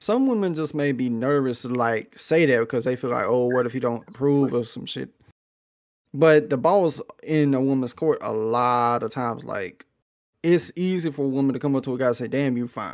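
Talking fairly quickly in a plain, everyday voice, a man keeps a medium pitch and ordinary pitch variation, the recording very clean and the background silent. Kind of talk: casual chat.

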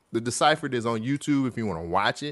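Over a quiet background, a man with an ordinary speaking voice talks fairly quickly at medium pitch with ordinary pitch variation. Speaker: podcast co-host. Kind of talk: casual chat.

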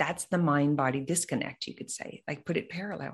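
A woman with an ordinary speaking voice, at a moderate pace. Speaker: mind body coach and business mentor. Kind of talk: casual interview conversation.

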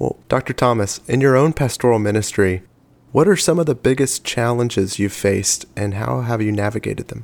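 A man with a normal speaking voice talks fairly quickly at a medium pitch, with ordinary pitch variation. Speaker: podcast host. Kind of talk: interview.

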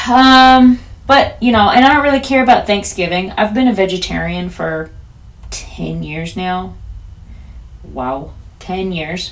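A woman with an American accent speaks at a fairly slow pace, her loudness swinging widely, with long, frequent pauses and audible room echo. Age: 30s. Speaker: podcast host. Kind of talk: solo casual monologue.

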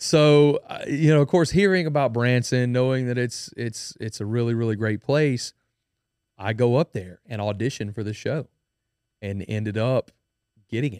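Speaking in a Louisiana accent, a man uses a medium pitch with ordinary pitch variation at a moderate pace. The recording is very clean with a silent background and a dry, close sound with no echo. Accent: Southern US (Louisiana). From Louisiana, Denham Springs. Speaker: country musician. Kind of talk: casual chat. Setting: studio.

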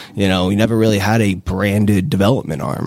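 Here is an unremarkable speaking voice from a man, fairly low in pitch, at a moderate pace with ordinary pitch variation on a very clean recording with a silent background. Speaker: real estate developer. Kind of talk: casual interview. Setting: studio.

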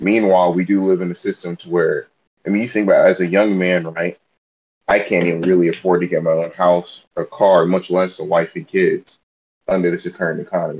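A man's very deep, low voice at a fairly quick pace, with monotone, flat intonation. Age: 20s. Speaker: soldier. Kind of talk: casual chat.

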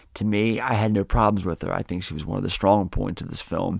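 A man talks at a fairly quick pace with a fairly low pitch and vocal fry. His intonation stays fairly even. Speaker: podcast host. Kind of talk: casual solo film review podcast.

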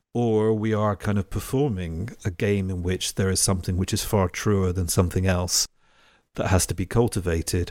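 Over a very clean recording with a silent background, a man with an English accent speaks in a very deep, low pitch at a moderate pace with fairly even intonation. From England. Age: 40s. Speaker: podcast host. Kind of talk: interview.

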